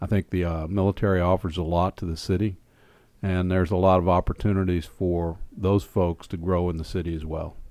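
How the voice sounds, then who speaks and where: In an American accent, a man speaks at a fairly quick pace with a very deep, low pitch, a dark, mellow tone and a monotone, flat intonation, on a very clean recording with a silent background. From Oklahoma, US. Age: 60s. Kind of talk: interview.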